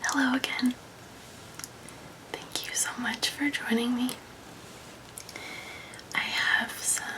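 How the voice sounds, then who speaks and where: A woman whispers in a calm tone at a very slow pace. Long, frequent pauses break up her speech over noticeable background noise. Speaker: ASMR creator. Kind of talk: ASMR relaxation talk. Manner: soft-spoken, calm, friendly.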